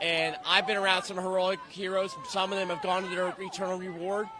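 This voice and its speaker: A man's high, raised, projected voice with a Philadelphia accent, fairly quick, over noticeable background noise. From Philadelphia, US. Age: 30s. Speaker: pro-life activist. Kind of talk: street interview. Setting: outdoors at a protest march.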